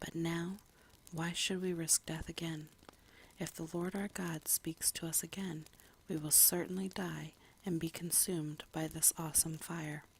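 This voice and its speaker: A soft-spoken woman talks at a fairly slow pace in a somewhat breathy, fairly low voice with monotone, flat intonation. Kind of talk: Bible reading / ASMR. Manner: soft-spoken, relaxing.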